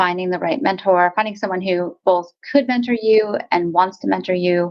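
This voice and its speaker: A woman speaks in a medium pitch with ordinary pitch variation. It is a normal speaking voice. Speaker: podcast host. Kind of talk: interview.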